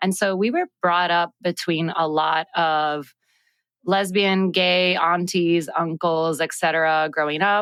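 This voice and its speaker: Speaking at a very slow pace with a Puerto Rican accent, a woman with a fairly low pitch is heard in a quiet background with a dry, close sound and no echo. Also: very even loudness. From Puerto Rico (San Juan). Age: 30s. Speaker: agro-activist, farmer. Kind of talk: personal storytelling. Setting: studio.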